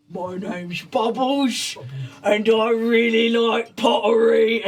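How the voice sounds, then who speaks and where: A man puts on a raspy character voice at an extremely high pitch. He goes at a fairly slow pace. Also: fairly even intonation. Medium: actual play.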